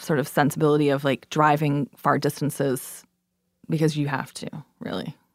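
Someone with a Canadian accent speaks at a moderate pace, in a very clean recording with a silent background and a dry, close sound with no echo. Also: woman. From Canada. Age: 40s. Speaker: writer. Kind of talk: interview.

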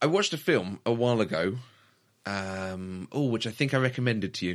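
A man with a British accent, medium pitch and ordinary pitch variation, on a very clean recording with a silent background. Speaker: podcast co-host. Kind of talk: casual chat.

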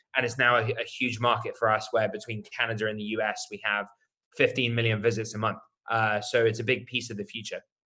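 With a British accent, a man talks in a bright, sharp tone with monotone, flat intonation. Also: medium pitch for a man, fairly quick pace. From UK. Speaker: startup co-founder and CEO. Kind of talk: casual interview conversation.

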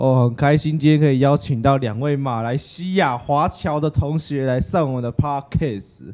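On a very clean recording with a silent background, a man with a Taiwanese accent and a fairly high pitch speaks at a moderate pace with hardly any pauses and ordinary pitch variation. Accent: Taiwanese Mandarin. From Taiwan, Kaohsiung. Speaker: student podcast host. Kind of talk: casual chat.

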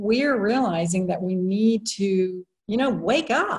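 A woman's somewhat breathy voice sits at a fairly high pitch with lively intonation. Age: 60s. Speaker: attorney and social entrepreneur. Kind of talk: interview.

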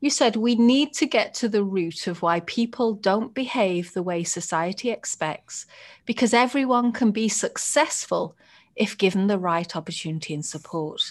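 A woman's warm tone with lively intonation. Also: moderate pace. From Britain. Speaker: podcast host. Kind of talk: interview conversation. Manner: warm, engaged.

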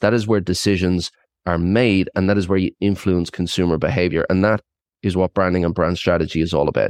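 A man with a very deep, low voice talks at a very fast pace, keeping his intonation fairly even and his loudness very even. The sound is dry and close, with no echo. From Ireland. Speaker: brand strategist and consultant. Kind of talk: interview. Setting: remote call.

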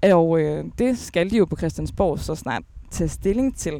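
Her voice is fairly low and has a dark, mellow tone. The woman speaks at a very slow pace. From Denmark, Aalborg. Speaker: podcast host. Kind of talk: interview. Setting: outdoors in a park.

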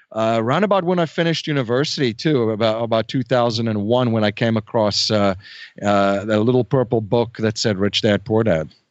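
With a South African accent, the speaker talks at a moderate pace with ordinary pitch variation. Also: man, medium pitch for a man. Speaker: real estate investor and podcaster. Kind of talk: interview.

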